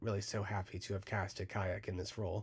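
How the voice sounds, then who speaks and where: Somewhat breathy, a man with an American accent speaks at a fairly quick pace. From United States. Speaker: fan film creator and voice actor. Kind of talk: casual interview. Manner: animated, frequent 'like' fillers.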